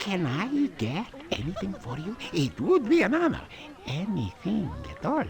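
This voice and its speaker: Someone does a put-on character voice at a middle pitch and a moderate pace. Music is clearly heard in the background. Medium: video game. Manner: fawning, nervous laughter.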